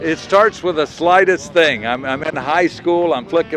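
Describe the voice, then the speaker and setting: Moderately paced speech from a man with a fairly high pitch, backed by music. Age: 70s. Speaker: veteran pilot. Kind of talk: interview. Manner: halting.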